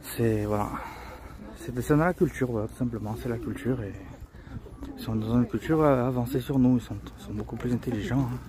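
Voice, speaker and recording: Over noticeable background noise, a man talks at a fairly quick pace with ordinary pitch variation, long, frequent pauses and big swings in loudness. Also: medium pitch for a man. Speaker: travel vlogger. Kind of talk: casual vlog narration. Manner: soft-spoken; halting, many repetitions.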